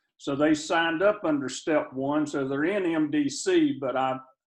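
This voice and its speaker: This man has a Southern US accent, a fairly high pitch and ordinary pitch variation. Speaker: participant asking questions. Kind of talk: Q&A question.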